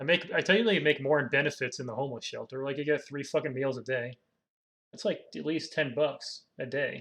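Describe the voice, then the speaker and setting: A man speaks in an unremarkable speaking voice at a fairly quick pace. His pitch is fairly high, with ordinary pitch variation. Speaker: streamer reading forum posts. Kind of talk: live stream commentary reading posts. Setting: live stream.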